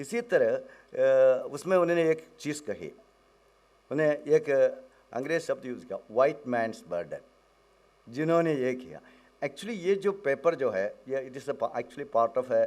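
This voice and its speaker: A man with a Malayalam accent speaks with very wide pitch swings. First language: Malayalam (speaking Hindi). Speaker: professor, academic researcher. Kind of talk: conference talk. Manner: halting, code-switching Hindi and English.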